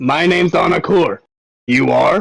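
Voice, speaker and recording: A man performs a put-on character voice, pitched high and delivered at a moderate pace. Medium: actual play. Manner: warm, easygoing.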